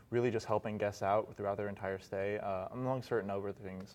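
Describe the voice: A man with an American accent, a slightly mellow tone and ordinary pitch variation.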